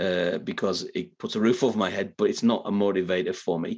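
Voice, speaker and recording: Here a man talks at a moderate pace with a Teesside accent. The background is quiet. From northeast England (Middlesbrough). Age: 50s. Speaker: professional speaker and author. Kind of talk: interview conversation. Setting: video call.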